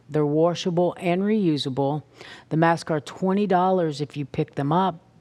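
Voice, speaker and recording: Fairly slowly, a woman delivers her words in a very deep, low pitch. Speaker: reads community announcements. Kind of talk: announcement reading.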